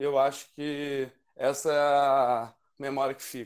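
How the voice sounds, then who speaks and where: A man at a medium pitch with monotone, flat intonation. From Rio de Janeiro. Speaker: podcast panelist. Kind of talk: casual chat.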